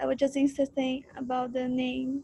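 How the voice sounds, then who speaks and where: A woman's high, dark and mellow voice at a moderate pace, with a Brazilian Portuguese accent. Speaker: university student. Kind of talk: class introduction.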